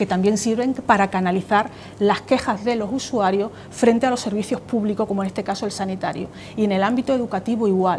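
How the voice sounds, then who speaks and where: Fairly even intonation from a woman at a fairly quick pace over light background noise. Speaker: consumer association president. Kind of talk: TV interview answer. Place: studio. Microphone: lapel.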